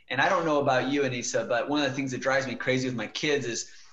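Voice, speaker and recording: Speaking fairly quickly, a man is heard through noticeable background noise. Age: younger than 40s. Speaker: marketing executive and author. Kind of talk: podcast interview. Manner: casual with many fillers.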